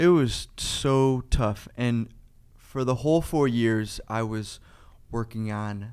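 A man with a Cleveland accent on a very clean recording, the background silent. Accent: Midwestern American (Cleveland area). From Ohio, Parma near Cleveland. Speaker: climbing gym owner, former social worker. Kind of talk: casual interview.

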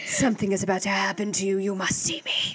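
A put-on character voice at a middle pitch, flat and monotone, delivered very fast. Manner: ominous, threatening.

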